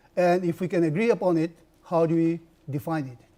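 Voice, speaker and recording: Here a man's high voice carries a dark, mellow tone. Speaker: professor. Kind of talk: lecture.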